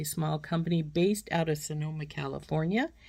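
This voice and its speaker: On a very clean recording with a silent background, a woman speaks at a fairly quick pace in a very deep, low pitch with fairly even intonation. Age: 60s. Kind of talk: product unboxing review. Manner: casual, with frequent fillers.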